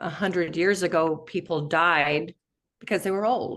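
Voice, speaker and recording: Over a quiet background, a woman speaks at a fairly low pitch with fairly even intonation. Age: 60s. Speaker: interview show host. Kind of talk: interview.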